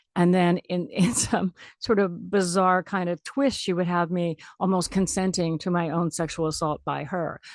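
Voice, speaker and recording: Recorded dry and close with no echo against a quiet background, a woman with fairly low pitch and fairly even intonation talks at a moderate pace in an ordinary speaking voice. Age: 60s. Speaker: radio host. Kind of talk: radio interview. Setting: radio studio.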